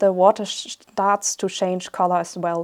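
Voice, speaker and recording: Over a silent background in a very clean recording, a woman speaks fairly slowly with fairly even intonation. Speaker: illustrator. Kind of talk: casual walkthrough of a story script.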